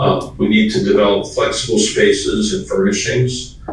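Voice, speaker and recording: A man talks at a fairly slow pace, with audible room echo and noticeable background noise. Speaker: school design consultant. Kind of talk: presentation.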